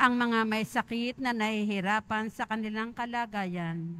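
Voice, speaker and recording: On a very clean recording with a silent background, a woman uses a normal speaking voice, fairly high in pitch, with ordinary pitch variation and a fairly slow pace. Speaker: lector. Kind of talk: prayer of the faithful intercessions.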